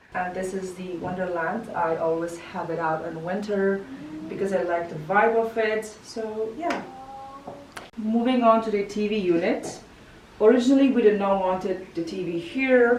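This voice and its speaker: Noticeable background noise and audible room echo surround this woman's voice. She speaks at a moderate pace with ordinary pitch variation. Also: medium pitch for a woman. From Kazakhstan. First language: Kazakh. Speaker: lifestyle vlogger. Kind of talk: house tour interview.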